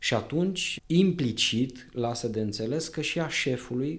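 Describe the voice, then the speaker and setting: A plain, everyday voice moves at a fairly slow pace. The intonation is lively. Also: man. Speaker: librarian, historian. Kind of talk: radio interview, informative talk. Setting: radio studio.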